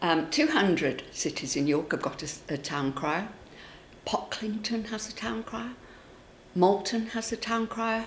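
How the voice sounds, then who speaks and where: Over noticeable background noise, a woman speaks at a very slow pace with long, frequent pauses and very wide pitch swings. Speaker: local official or campaigner for a town crier. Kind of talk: interview answer.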